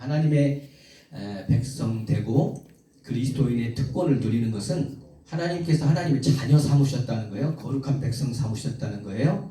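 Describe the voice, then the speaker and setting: A man at medium pitch and a moderate pace, with audible room echo and noticeable background noise. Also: ordinary pitch variation. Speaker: preacher. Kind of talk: sermon.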